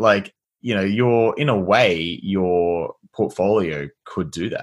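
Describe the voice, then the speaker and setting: A man with an Australian accent speaks at a very slow pace, his fairly low pitch showing ordinary pitch variation. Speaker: podcast host, agency software founder. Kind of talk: casual interview chat.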